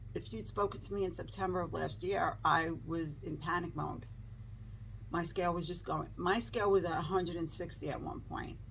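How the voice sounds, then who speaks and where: Vocal fry marks this woman's fairly low-pitched voice as she speaks at a moderate pace, with audible room echo. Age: 60s. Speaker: lifestyle vlogger. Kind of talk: casual vlog talk to camera.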